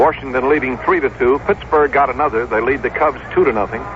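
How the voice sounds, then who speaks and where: Through noticeable background noise, a man with a fairly high pitch talks at a fairly quick pace with ordinary pitch variation. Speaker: baseball radio play-by-play announcer. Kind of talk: 1965 radio baseball play-by-play broadcast.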